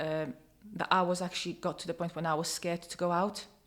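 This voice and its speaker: The recording is very clean with a silent background. A woman with a Polish accent talks at a fairly low pitch in a monotone, flat intonation. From Poland. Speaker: domestic abuse survivor. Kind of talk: testimony. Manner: halting.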